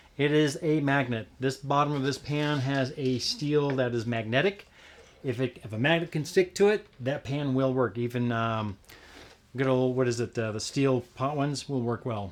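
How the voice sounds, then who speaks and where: A man speaks at a moderate pace and a medium pitch. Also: ordinary pitch variation. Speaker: home cook guest demonstrating a recipe. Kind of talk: cooking demonstration. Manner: soft-spoken.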